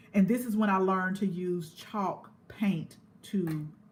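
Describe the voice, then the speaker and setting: A woman's somewhat breathy, medium-pitched voice with an American accent, a fairly slow pace and fairly even intonation. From US South, Georgia (Columbus). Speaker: gardening youtuber. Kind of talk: casual livestream chat. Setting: indoors, live stream. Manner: conversational, halting with fillers.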